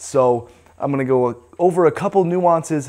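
A man talks with ordinary pitch variation. The background is quiet. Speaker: fitness coach. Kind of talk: tutorial. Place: gym.

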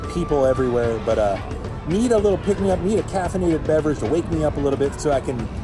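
A man talks at a very fast pace. Clear music plays in the background, and the sound is dry with no echo. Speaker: travel vlogger. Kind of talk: casual vlog chat. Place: street. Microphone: phone near.

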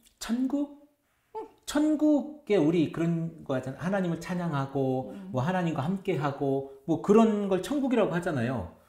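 A man with a high pitch and a dark, mellow tone swings very widely in pitch. The background is quiet, with audible room echo. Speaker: pastor. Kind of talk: casual chat. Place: studio.

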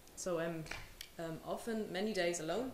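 A woman speaks at a fairly quick pace with medium pitch and ordinary pitch variation. Audible room echo and light background noise accompany her. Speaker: writer. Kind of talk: panel discussion. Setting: live event with audience. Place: hall. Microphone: podium.

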